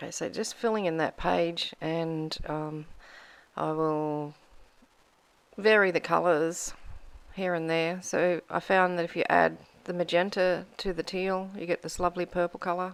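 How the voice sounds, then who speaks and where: On a very clean recording with a silent background, a woman with a fairly low voice speaks fairly slowly, her intonation fairly even. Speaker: mixed media artist, craft YouTuber. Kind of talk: tutorial. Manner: casual, chatty.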